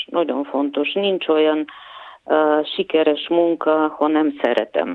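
Very slow, very even-volume speech with ordinary pitch variation and a Bulgarian accent. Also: woman. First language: Bulgarian (speaking Hungarian). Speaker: puppet and set designer. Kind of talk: interview. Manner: hesitant, many fillers.

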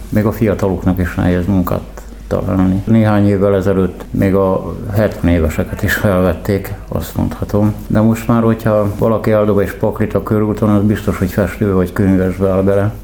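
A man's fairly low, monotone voice with flat intonation and hardly any pauses, over noticeable background noise. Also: moderate pace. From Pécs, Hungary. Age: 60s. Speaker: homeless construction worker. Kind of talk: interview.

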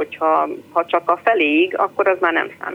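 Her fairly low-pitched voice moves in very wide pitch swings. The woman is heard over noticeable background noise. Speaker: caller, mother. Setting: phone call.

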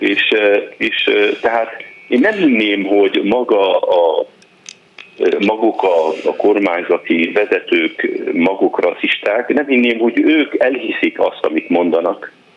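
Amid noticeable background noise, a man talks at a very slow pace with long, frequent pauses and very even loudness. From northern Lebanon. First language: Arabic (speaking Hungarian). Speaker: physician. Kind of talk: radio interview.

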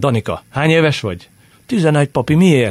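A man speaks at a fairly high pitch. The sound is dry and close, with no echo. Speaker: football commentator and former player. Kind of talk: casual chat. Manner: halting.

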